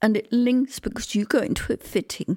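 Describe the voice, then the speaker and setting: At a fairly slow pace, a woman with an English accent speaks in a fairly high pitch with ordinary pitch variation. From England. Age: 70s. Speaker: theatre designer. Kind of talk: interview. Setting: at home.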